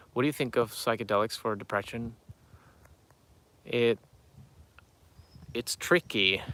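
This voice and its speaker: A man with a bright, sharp tone talks fairly slowly at a medium pitch, with long, frequent pauses. The sound is dry and close, with no echo. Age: 30s. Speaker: YouTuber answering viewer questions. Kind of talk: live stream Q&A reading chat. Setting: outdoors near farm animals. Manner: halting, many fillers.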